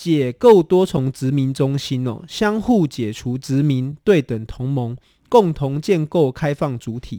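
This man has a dark, mellow tone at a fairly high pitch. His intonation is lively. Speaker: radio host. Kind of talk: interview on a radio show. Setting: studio.

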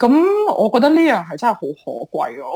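Her pitch swings very widely. The woman's voice also carries vocal fry. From Hong Kong. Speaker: entrepreneur. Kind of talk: interview.

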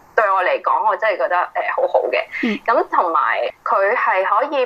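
A woman is speaking. There is noticeable noise in the background. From Hong Kong. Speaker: artist and yoga teacher. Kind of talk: interview. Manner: hesitant with many fillers.

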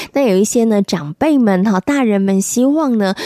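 In an unremarkable speaking voice, a woman talks at a moderate pace with ordinary pitch variation, the sound dry and close with no echo. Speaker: radio host. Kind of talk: radio show chat.

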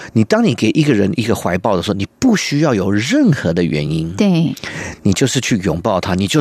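Very wide pitch swings run through a man's speech at a moderate pace. The sound is dry and close, with no echo. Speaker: cellist and music school owner. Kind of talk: interview conversation. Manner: halting, searching for words.

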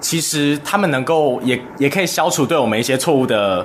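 A man keeps a moderate pace while noticeable background noise carries under his words. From Taiwan. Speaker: university student. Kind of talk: radio interview.

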